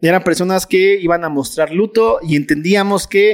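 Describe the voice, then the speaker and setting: Ordinary pitch variation runs through a man's speech. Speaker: Bible study teacher. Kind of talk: Bible study lecture. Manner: fast.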